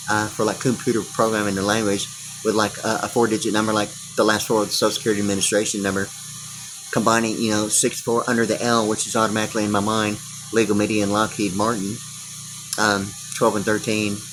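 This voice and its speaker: A man talks very fast in a monotone, flat delivery over noticeable background noise. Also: fairly low pitch for a man. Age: 60s. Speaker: video blogger. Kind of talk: rambling monologue. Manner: halting, many fillers and repetitions.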